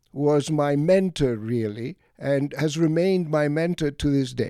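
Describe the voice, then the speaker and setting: A man's dark, mellow tone, dry and close with no echo, in a very clean recording with a silent background. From Egypt (Alexandria), Greek parents, schooled in Greece. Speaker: retired economics professor. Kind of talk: casual interview conversation. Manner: halting, with fillers and repeated words.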